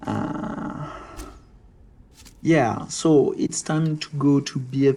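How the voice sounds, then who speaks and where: This is a man speaking. He has a French accent. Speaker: gaming video creator. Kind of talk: gameplay commentary. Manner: hesitant with many fillers.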